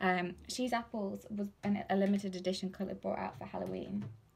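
A woman speaks in a somewhat breathy voice. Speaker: lip product seller. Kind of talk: casual live unboxing chat. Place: home room. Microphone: phone near.

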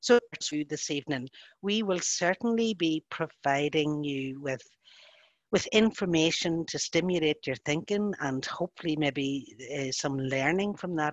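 A woman with a Northern Irish accent speaks at a fairly slow pace in a very deep, low pitch with ordinary pitch variation, the sound dry with no echo over a quiet background. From Northern Ireland. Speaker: social worker and facilitator. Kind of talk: webinar presentation, spoken freely. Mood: gentle, caring, cautious. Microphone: video call.

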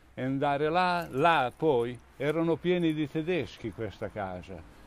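A man's fairly high voice with lively intonation at a very slow pace, on a very clean recording with a silent background. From Romagna, Italy (Cesenatico). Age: 80s+. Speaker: retired bricklayer sharing childhood memories. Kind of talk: oral history storytelling to schoolchildren.

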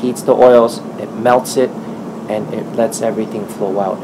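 Loud noise sits behind a man who speaks at a moderate speed. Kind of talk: interview answer. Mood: friendly, smiling.

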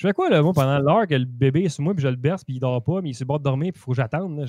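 A man talks at a very fast pace with a fairly high pitch and a dark, mellow tone. The sound is dry with no echo. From Quebec. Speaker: gaming podcast co-host. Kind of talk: casual chat. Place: home room. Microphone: video call.

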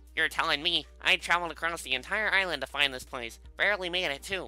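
In a put-on character voice pitched high, a man races along at a very fast pace with clear music in the background. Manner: weird.

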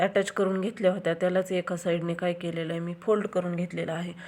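Her voice at a medium pitch, a woman speaks with monotone, flat intonation. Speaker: sewing and craft video creator. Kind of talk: tutorial.

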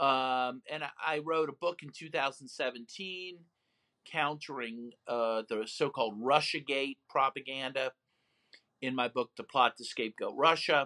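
Speaking at a fairly slow pace, a man with a bright, sharp tone uses ordinary pitch variation over a quiet background. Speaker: human rights lawyer and author; interview guest. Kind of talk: interview. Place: home room. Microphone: video call.

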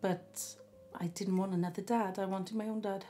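A woman speaks in a South Welsh accent at a medium pitch. Faint music plays in the background. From Barry, South Wales. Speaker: storyteller recalling her life. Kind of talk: interview answer. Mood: reflective, gently emotional. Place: home room. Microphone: camera far.

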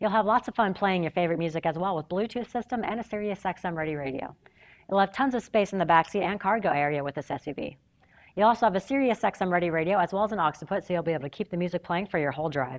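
The background is quiet. A woman speaks at a very fast pace. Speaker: presenter.

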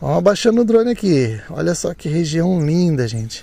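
A high-pitched male voice amid noticeable background noise. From Brazil, São Paulo state (Santo Antônio do Pinhal). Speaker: drone YouTuber. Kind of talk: vlog narration. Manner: animated.

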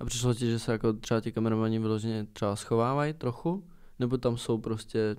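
A man rushes along at a very fast pace, his intonation fairly even. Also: medium pitch for a man. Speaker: podcast host. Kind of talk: casual chat. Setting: studio.

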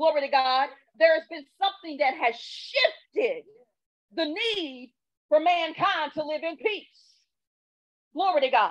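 Over a quiet background, a woman talks at a fairly slow pace with an extremely high pitch, an animated tone and lively intonation. She leaves long, frequent pauses. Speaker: preacher. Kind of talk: sermon. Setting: church. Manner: animated, fervent call-and-response preaching; emphatic, repeats phrases for rhythm. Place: church. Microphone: handheld.

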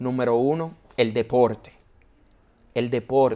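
A man at a fairly slow pace. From Dominican Republic, San Antonio de Guerra; Dominican Republic. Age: 30s. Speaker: broadcaster and mayoral candidate; candidate. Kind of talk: interview. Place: studio. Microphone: lapel.

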